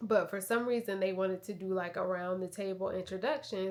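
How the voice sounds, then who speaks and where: This woman's voice sits at a medium pitch with fairly even intonation, recorded very cleanly against a silent background. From US South, south Georgia (Valdosta). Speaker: vlogger. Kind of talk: casual vlog talk to camera. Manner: halting, many fillers.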